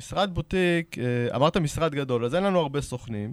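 Recorded very cleanly against a silent background in a dry, close sound with no echo, a man speaks at a moderate pace with fairly high pitch and lively intonation. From Israel, Arad. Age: 30s. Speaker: real estate broker. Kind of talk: interview. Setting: studio.

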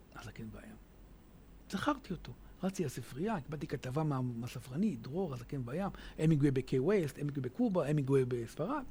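Somewhat breathy and dark, mellow in tone, a man's voice carries lively intonation. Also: fairly high pitch for a man, fairly quick pace. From Israel, Hadera. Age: 50s. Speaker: author. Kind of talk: radio interview.

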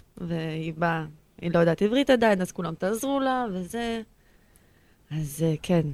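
Lively in intonation, a woman talks at medium pitch and a moderate pace, with long, frequent pauses. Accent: non-native. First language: not Hebrew (speaking Hebrew). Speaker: guest with Asperger's. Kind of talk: personal testimony interview.

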